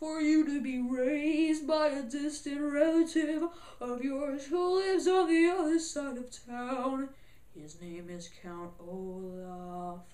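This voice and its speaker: Her voice is a put-on character voice, placed high. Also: fairly slow pace. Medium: read story. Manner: formal, matter-of-fact.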